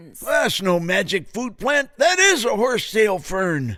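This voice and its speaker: A put-on character voice, raised and projected, at a fairly slow pace with very wide pitch swings. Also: man, high pitch for a man. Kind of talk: comic radio serial acting. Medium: audio drama. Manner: grumbling, hesitant "uh".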